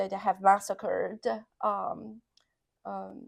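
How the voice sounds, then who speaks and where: A woman speaks with a Sardinian accent on a very clean recording with a silent background. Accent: Italian (Sardinian). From Sardinia, Italy. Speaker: associate professor. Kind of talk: oral history interview answer.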